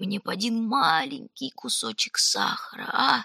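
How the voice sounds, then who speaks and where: A put-on character voice sounds wheezy and hoarse at a fairly high pitch. It moves at a moderate pace. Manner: pleading.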